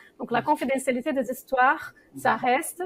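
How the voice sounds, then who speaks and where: Her voice is high for a woman, with fairly even intonation at a moderate pace. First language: not French (speaking French). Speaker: association founder and circle leader. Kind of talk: talk-show interview. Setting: studio. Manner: hesitant, many fillers.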